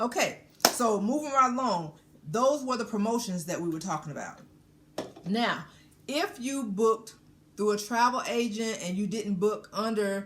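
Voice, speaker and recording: A somewhat breathy woman's voice, fairly high in pitch, with lively intonation and long, frequent pauses. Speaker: cruise vlogger. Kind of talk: informational explainer. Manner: deliberately slowed down.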